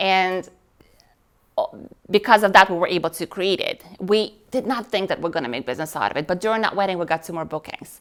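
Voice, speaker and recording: Speaking in a Russian accent, a woman talks at a fairly quick pace with medium pitch and ordinary pitch variation. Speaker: wedding display business owner. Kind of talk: interview. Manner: talkative.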